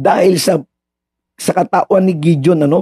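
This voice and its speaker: A man speaks at a moderate pace in a high voice with a dark, mellow tone and fairly even intonation, the sound dry and close with no echo. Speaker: radio preacher. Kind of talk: sermon. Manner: conversational storytelling.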